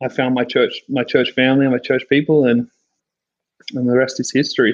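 A man at a medium pitch speaks in a flat monotone, with a dry, close sound and no echo. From Australia. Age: 30s. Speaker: worship songwriter. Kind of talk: casual chat. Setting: video call.

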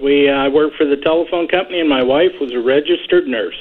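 Speaking with an American accent, a man uses a plain, everyday voice at a fairly high pitch and a fairly quick pace. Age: 60s. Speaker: caller. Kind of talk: casual chat. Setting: phone call.

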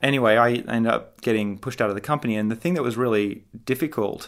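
In a very clean recording with a silent background, a man talks with an Australian accent. His pitch is medium with ordinary variation. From Australia, Sydney. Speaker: tech startup founder and CEO. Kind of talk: interview.

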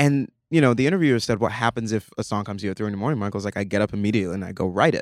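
Very fast speech comes from a man with a fairly low pitch and ordinary variation. The recording is very clean and dry, close, with no echo and a silent background. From Nigeria. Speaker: actor. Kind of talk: casual chat.

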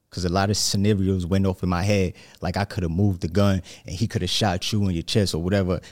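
A man with a New York accent talks very fast in a very deep, low pitch and a flat monotone. The recording is very clean with a silent background. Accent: New York area. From New Jersey. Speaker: aspiring motivational speaker. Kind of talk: casual interview, hot seat. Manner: nervous.

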